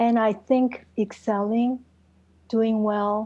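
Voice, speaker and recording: A very slow, somewhat breathy voice with a dark, mellow tone and monotone, flat intonation over a quiet background. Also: woman. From South Korea. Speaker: executive coach and author. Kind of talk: interview.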